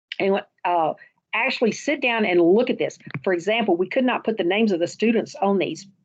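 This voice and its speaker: At a fairly quick pace, a woman speaks in a medium pitch with ordinary pitch variation and very even loudness. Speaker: school principal, education presenter. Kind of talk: presentation. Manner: fast.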